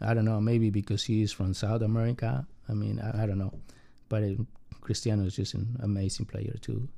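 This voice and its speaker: Talking at a fairly quick pace in a Spanish accent, a man has a fairly low pitch, a dark, mellow tone and fairly even intonation. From Mexico City. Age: 40s. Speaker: immigrant. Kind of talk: personal interview. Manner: halting.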